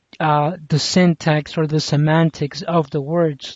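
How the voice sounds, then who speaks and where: The speaker has a non-native accent and a fairly slow pace. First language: not English. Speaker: commentary vlogger. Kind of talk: casual monologue commentary. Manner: halting, many fillers and restarts.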